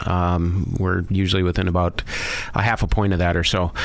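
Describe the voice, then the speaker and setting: There's noticeable background noise as a man speaks at a moderate pace. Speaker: mortgage lender. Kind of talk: radio interview.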